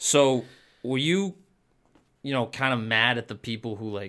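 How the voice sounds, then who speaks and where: Over a silent background in a very clean recording, a man speaks at a moderate pace in a bright, sharp tone with ordinary pitch variation. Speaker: podcast host. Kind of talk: casual chat.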